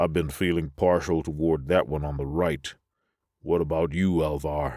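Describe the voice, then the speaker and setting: A man's put-on character voice, very deep and low, flat and monotone at a moderate pace, on a very clean recording with a silent background. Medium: read story. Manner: plain, blunt.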